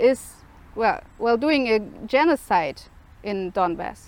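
The speech comes with a German accent and lively intonation. It moves at a very slow pace. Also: woman. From Germany. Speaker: independent journalist. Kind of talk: video statement. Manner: halting.

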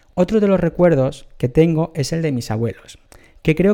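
The man talks with a dark, mellow tone at a moderate pace. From Bolivia, Santa Cruz de la Sierra. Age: 20s. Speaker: podcaster. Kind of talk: personal storytelling monologue. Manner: halting, self-correcting.

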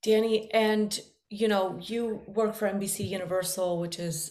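A woman's medium-pitched voice at a fairly slow pace, with fairly even intonation and audible room echo. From Medellin, Colombia. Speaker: journalist podcast host. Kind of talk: interview.

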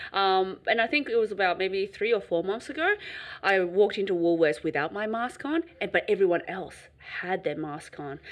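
Her voice a normal speaking voice, a woman of medium pitch speaks at a moderate pace with lively intonation. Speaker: podcast host. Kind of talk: casual chat.

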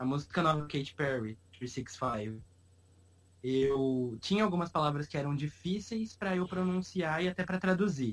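A man's fairly high, somewhat breathy voice with lively intonation at a moderate pace. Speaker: podcast host. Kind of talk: casual chat.

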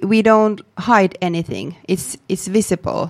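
Speaking very slowly, a woman uses fairly even intonation. She has a Finnish accent. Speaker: public sector startup official, author. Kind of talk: interview. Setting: studio. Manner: halting.

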